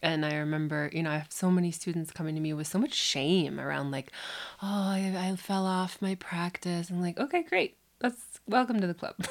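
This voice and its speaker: A woman with an American accent has an unremarkable speaking voice, a fairly low pitch, and ordinary pitch variation. She talks at a fairly quick pace in a very clean recording with a silent background. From US Upper Midwest, Minneapolis. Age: 30s. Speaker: Kundalini yoga teacher. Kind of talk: casual interview conversation. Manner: relaxed, frequent fillers and laughter.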